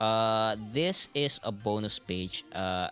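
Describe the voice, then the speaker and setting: A man talks very slowly. Music can be heard in the background. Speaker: vtuber and manga translator. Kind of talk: livestream talk to audience.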